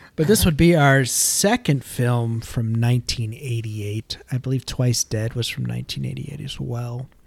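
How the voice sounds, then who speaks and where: A man talks at a medium pitch with hardly any pauses, his voice somewhat breathy. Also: ordinary pitch variation, moderate pace. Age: 30s. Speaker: podcast co-host. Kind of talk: casual chat.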